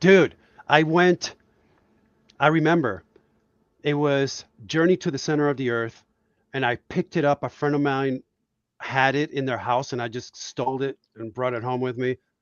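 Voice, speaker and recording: Speaking with a Spanish accent, a man uses a fairly high pitch with ordinary pitch variation. His pace is moderate, with long, frequent pauses. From Puerto Rico. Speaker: cartoonist. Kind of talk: casual chat. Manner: animated.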